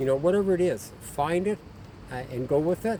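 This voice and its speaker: A man's dark, mellow tone carries lively intonation and a somewhat breathy quality. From Ontario, Canada. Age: 50s. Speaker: abuse survivor. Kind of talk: personal testimony. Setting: outdoors in nature. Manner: halting, many fillers.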